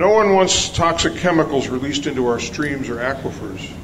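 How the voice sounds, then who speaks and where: This man's voice sits at a fairly high pitch. Noticeable background noise and audible room echo surround him. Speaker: retired chemist. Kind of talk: public testimony. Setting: public hearing.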